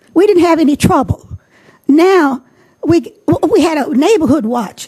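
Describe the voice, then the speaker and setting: With an American accent, a woman speaks at a moderate pace in an extremely high pitch, her tone dark and mellow and her intonation lively. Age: 70s. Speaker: resident asking question at forum. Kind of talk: public question at candidate forum. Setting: public forum with audience. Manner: insistent, talks over interruptions.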